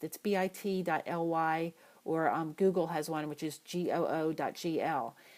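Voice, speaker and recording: This woman talks at a moderate pace with ordinary pitch variation. She has an ordinary speaking voice. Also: very clean recording, silent background. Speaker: marketing coach. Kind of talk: tutorial.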